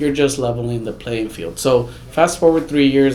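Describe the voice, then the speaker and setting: A man speaks with an American accent and ordinary pitch variation. Room echo is audible, and background noise is noticeable. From Houston, Texas. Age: 30s. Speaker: immigrant rights advocate. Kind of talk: interview.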